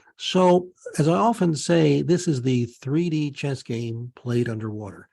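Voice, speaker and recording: Over a quiet background, a man speaks at a fairly slow pace. His medium-pitched voice has a dark, mellow tone and lively intonation. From Pennsylvania, US. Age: 60s. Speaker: naturopath. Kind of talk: interview with screen-share presentation.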